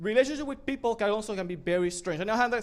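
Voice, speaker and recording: With a strong non-native accent, a man talks at a very fast pace in a high pitch with lively intonation. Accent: thick foreign. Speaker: spoken word performer. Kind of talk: stand-up style storytelling.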